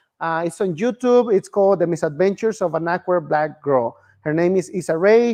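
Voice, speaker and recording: With a Spanish accent and ordinary pitch variation, a man speaks in a dry, close sound with no echo. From Mexico. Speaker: filmmaker, immigrant activist. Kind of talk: bilingual personal testimony talk.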